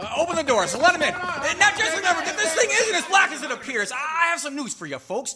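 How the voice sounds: A man performs a put-on character voice at extremely high pitch. He talks fast with a bright, sharp tone and big pitch swings.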